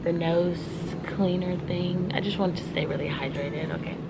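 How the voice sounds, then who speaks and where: Soft-spoken and fairly low-pitched, a woman talks over noticeable background noise. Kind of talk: casual talk to camera. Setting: airport.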